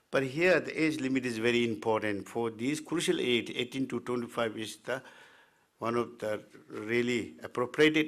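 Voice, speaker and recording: With ordinary pitch variation, a man talks at a medium pitch and a moderate pace. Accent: Tibetan. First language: Tibetan. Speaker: Tibetan medicine physician and teacher. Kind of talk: presentation. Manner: halting, many fillers.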